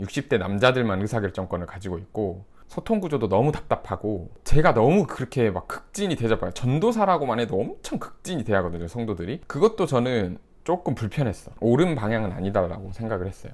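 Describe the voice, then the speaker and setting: On a very clean recording with a silent background, the speaker moves at a fairly quick pace with hardly any pauses and very wide pitch swings. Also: man, medium pitch for a man. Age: 30s. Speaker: YouTuber and former pastor. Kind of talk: casual commentary monologue. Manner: conversational, mixed casual and polite speech.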